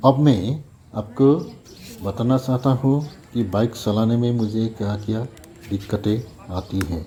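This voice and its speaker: A man with a non-native accent speaks at medium pitch with ordinary pitch variation. He leaves long, frequent pauses, and background noise is noticeable. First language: not Hindi (speaking Hindi). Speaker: bike owner reviewer. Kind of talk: product review.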